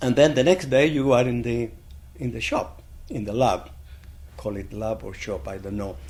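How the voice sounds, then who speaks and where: In a Spanish accent, a man speaks at a moderate pace and medium pitch with lively intonation, big swings in loudness and long, frequent pauses, in a room with audible echo. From Chile. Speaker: blacksmith. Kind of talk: oral history interview. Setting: conference.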